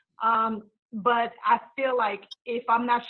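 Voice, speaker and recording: This woman speaks at a high pitch. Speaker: community service provider. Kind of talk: town hall panel discussion. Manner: halting with fillers.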